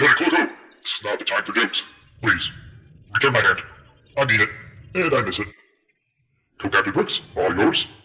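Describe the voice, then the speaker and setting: Putting on a character voice, a man with a medium pitch talks at a fairly quick pace, broken by long, frequent pauses. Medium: audio drama. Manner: pompous, self-important.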